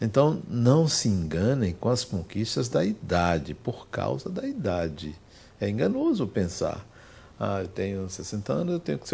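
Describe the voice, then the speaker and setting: A man with a fairly low, somewhat breathy voice speaks with very wide pitch swings. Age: 60s. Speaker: spiritist lecturer. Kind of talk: lecture. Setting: spiritist center with audience.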